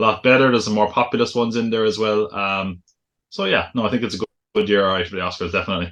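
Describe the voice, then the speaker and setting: A man with a Cork accent talks at a very fast pace. His pitch is fairly low and his intonation fairly even. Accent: Cork Irish. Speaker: podcast co-host, educator. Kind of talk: casual chat.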